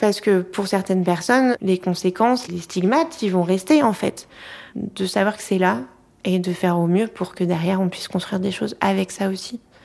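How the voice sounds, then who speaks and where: Her pace is moderate, with ordinary pitch variation. This woman has an ordinary speaking voice, medium in pitch. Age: young. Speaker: marriage and family counselor. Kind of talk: interview.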